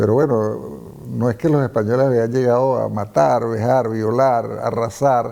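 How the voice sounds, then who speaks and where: Medium in pitch with ordinary pitch variation, a man speaks at a fairly slow pace in a dark, mellow tone. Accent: Venezuelan. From Venezuela. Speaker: hispanist, former professor. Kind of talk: interview.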